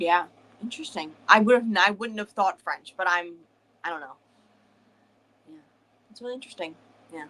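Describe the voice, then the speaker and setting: A bright, sharp tone at a fairly quick pace, with lively intonation, big swings in loudness and long, frequent pauses. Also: woman, medium pitch for a woman. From northern US. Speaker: book club co-host, streamer. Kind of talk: casual chat.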